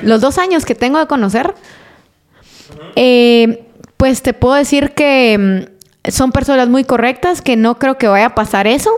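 With a high pitch, a woman speaks at a fairly slow pace, leaving long, frequent pauses. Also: ordinary pitch variation. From Quetzaltenango, Guatemala. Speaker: journalist and communicator. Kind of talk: interview.

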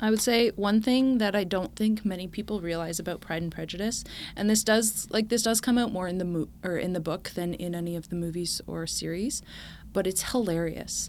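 This woman has an ordinary speaking voice, medium in pitch, with ordinary pitch variation at a fairly quick pace. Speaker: guest, Pride and Prejudice fan. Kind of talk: casual chat.

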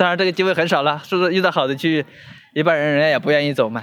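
Here a man speaks in a fairly high pitch. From China, Hubei. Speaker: courier. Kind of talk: interview. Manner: halting, many fillers.

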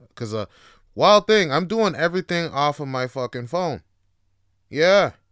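A man's voice with very wide pitch swings, dry and close with no echo, on a very clean recording with a silent background. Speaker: podcast host. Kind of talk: casual solo podcast, answering listener questions. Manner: casual, profane, chatty; stutters at times, self-aware of it.

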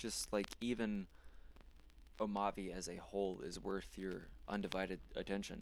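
A man with an American accent speaks at fairly low pitch in a monotone, flat intonation. His speech has long, frequent pauses. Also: moderate pace. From North Carolina, small town near Charlotte. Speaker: podcast host. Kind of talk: solo monologue review.

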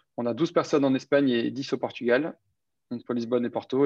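Against a quiet background, a man talks at a fairly quick pace with a medium pitch. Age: 30s. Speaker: startup founder and CEO. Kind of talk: interview. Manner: hesitant, many fillers.

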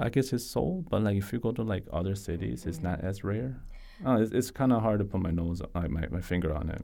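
A man's dark, mellow tone at a fairly low pitch and a very fast pace. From rural US. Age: 20s. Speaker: podcast guest. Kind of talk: casual chat.

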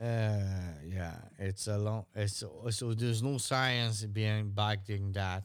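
The speech moves at a very slow pace with very even loudness. The recording is very clean, with a silent background. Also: man, fairly low pitch for a man, fairly even intonation. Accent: French. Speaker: podcast co-host. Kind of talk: casual banter chat.

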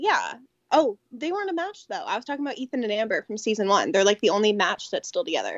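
With an American accent, a woman talks at a very fast pace, her high pitch making very wide pitch swings. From Connecticut. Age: 20s. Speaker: project manager. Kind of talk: casual chat.

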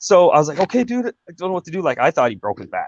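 In a Canadian accent, a man speaks at a very fast pace with vocal fry, the sound dry and close with no echo. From Ontario, Canada. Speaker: artist and former tribute singer. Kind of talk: casual interview.

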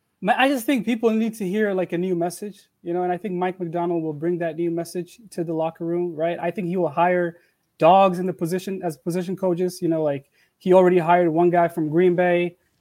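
A man speaks in a high pitch. His pace is fairly quick. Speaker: sports fan. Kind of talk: casual chat. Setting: video call. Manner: excitable.

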